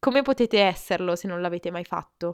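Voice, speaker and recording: A woman talks with ordinary pitch variation. The recording is very clean, with a silent background and a dry, close sound with no echo. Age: 20s. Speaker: podcast host. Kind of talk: motivational monologue.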